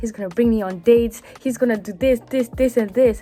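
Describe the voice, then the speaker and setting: A woman's fairly high-pitched voice, fairly quick and fairly even in intonation, with music in the background. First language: French. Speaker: vlogger. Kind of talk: casual monologue. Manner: hesitant.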